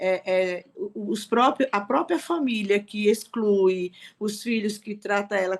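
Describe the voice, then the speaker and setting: This woman talks at a very slow pace with a medium pitch. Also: ordinary pitch variation. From Recife, Brazil. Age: 60s. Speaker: participant in an online reading circle. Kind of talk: testimony in a group discussion.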